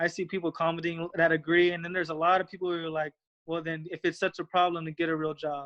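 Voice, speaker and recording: A man speaks at a high pitch against a quiet background. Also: dry, close sound with no echo. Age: 20s. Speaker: former minor league baseball player. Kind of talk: interview. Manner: halting.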